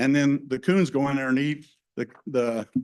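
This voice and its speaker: A man speaks with an American accent. His pitch is fairly high, with ordinary variation. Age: 60s. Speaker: hunter and retired teacher giving public comment. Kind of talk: public comment at a hearing. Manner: halting, many fillers.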